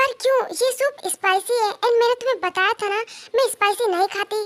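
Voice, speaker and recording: A woman at a fairly quick pace uses a squeaky put-on character voice of extremely high pitch with fairly even intonation, recorded dry and close with no echo. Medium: fan dub. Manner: sassy, teasing.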